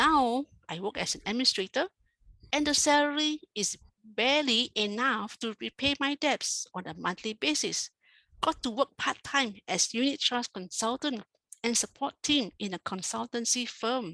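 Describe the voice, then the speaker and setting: Against a quiet background, a woman speaks high in pitch with lively intonation and a bright, sharp tone, the sound dry and close with no echo. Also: moderate pace. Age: 60s. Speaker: retired banker, administrator. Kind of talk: prepared speech.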